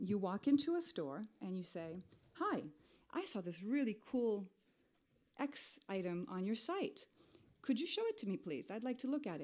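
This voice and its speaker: A woman with a dark, mellow tone speaks at a fairly high pitch with very wide pitch swings. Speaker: digital and retail expert. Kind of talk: conference talk. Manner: fast.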